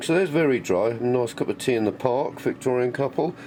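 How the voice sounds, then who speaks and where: This man's voice sits at a medium pitch, with ordinary pitch variation and a moderate pace. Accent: English. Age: 60s. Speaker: maker and workshop vlogger. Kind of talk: casual workshop vlog. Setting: workshop.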